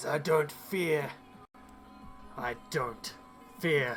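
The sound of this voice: Set against clear background noise, a put-on character voice at middle pitch comes out raspy and growling.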